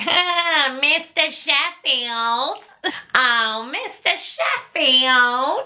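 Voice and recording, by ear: A put-on character voice, female-sounding and nasal, high-pitched and very slow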